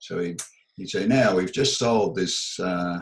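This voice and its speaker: The speaker is a man with an Australian accent. He talks at a fairly slow pace. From Melbourne, Australia. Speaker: audio and acoustics engineer. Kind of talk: oral history interview answer.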